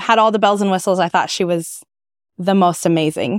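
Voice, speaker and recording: Very clean recording with a silent background, a dry, close sound with no echo, and a woman at medium pitch with fairly even intonation in a US Midwestern accent. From Kansas, US Midwest. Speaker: event planner and entrepreneur. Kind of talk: interview.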